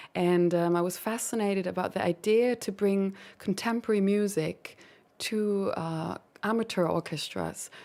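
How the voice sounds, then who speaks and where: A woman with a German accent, medium in pitch and dark, mellow in tone, at a moderate pace with fairly even intonation, on a very clean recording with a silent background. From Germany. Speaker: composer. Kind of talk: interview.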